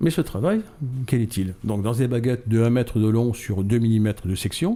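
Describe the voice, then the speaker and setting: A man speaks at a moderate pace with a dark, mellow tone, medium pitch, ordinary pitch variation and very even loudness. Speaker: model maker, association founder. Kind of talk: radio interview. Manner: animated.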